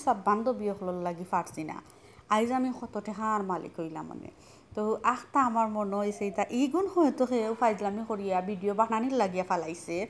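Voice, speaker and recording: Pitch varies in an ordinary way in this voice with a Sylheti accent. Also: woman. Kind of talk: casual talk to camera.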